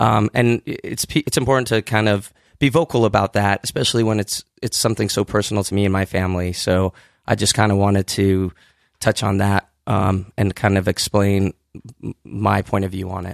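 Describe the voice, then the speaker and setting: Over a quiet background, a man speaks at a moderate pace with fairly even intonation in a dry, close sound with no echo. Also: fairly low pitch for a man. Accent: West Coast. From Southern California, born in Iran. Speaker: rock singer and rapper. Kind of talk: casual interview. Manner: halting, many fillers.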